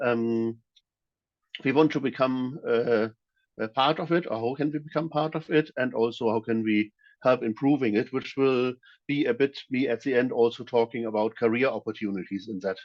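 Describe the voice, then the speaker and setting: Speaking with a German accent, a man keeps a medium pitch, ordinary pitch variation and a moderate pace. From Germany. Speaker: security auditor and trainer. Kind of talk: presentation. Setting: video call. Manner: halting, many fillers.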